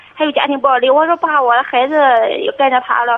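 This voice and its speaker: A woman speaks at a fairly quick pace. Her pitch is high, with ordinary pitch variation. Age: 30s. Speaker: caller, stay-at-home mother. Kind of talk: call-in advice conversation. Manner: hesitant.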